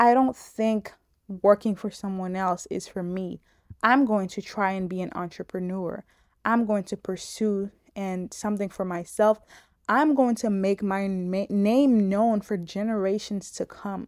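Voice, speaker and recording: A woman's unremarkable speaking voice, medium in pitch and fairly even in intonation, at a fairly slow pace, with a dry, close sound, no echo, and a very clean recording over a silent background. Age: 20s. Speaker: podcast host. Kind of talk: casual monologue.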